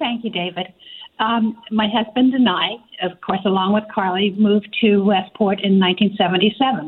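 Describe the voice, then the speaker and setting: An ordinary speaking voice delivers the words with fairly even intonation. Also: woman, medium pitch for a woman. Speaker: arts center executive director. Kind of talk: radio interview. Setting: phone call.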